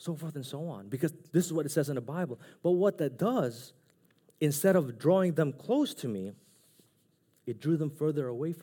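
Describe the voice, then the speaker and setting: Lively intonation and vocal fry mark this man's fairly high-pitched voice. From Philippines. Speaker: preacher. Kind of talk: sermon. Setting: church.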